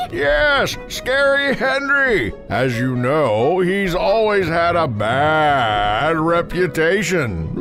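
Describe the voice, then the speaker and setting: Doing a put-on character voice, a man speaks very slowly at a fairly high pitch while clear music plays in the background. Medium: audio drama. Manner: warm, fatherly.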